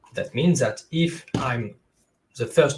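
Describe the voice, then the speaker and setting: A man speaks in a French accent over light background noise. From France. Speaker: SEO consultant. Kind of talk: webinar presentation. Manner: halting, many fillers. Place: home room.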